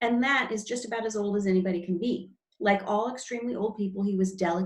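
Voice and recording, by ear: A natural voice reading aloud against a quiet background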